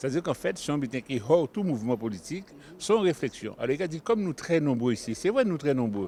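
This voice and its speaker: Speaking very fast, a man with a fairly high pitch has a dark, mellow tone. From Guadeloupe. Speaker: community association member. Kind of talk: interview.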